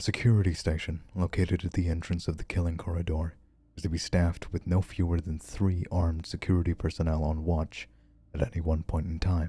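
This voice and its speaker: Very deep and low, a man's voice moves at a fairly quick pace with fairly even intonation on a very clean recording with a silent background. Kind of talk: horror document reading.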